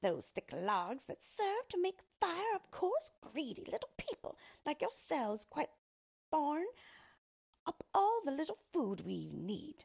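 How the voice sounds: Putting on a character voice, a woman speaks slowly at a high pitch with a slightly mellow tone, very wide pitch swings and vocal fry.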